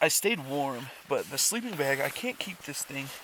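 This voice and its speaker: Over noticeable background noise, a man speaks fairly slowly at a fairly high pitch with lively intonation. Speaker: outdoor vlogger. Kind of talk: casual vlog narration. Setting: outdoors.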